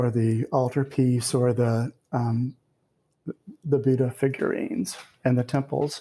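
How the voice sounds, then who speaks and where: A man with an American accent, dark, mellow tone and fairly slow pace. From US South. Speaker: poet and professor. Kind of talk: interview with readings.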